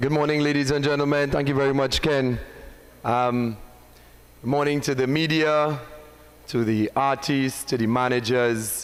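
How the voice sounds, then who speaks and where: A man's fairly high voice, fairly even in intonation and very even in loudness, at a fairly slow pace with long, frequent pauses and audible room echo. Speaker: soca artist and competition organiser. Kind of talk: press conference speech. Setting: live-streamed press conference with audience. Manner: formal.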